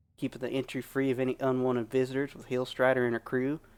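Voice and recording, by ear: Natural-voiced reading aloud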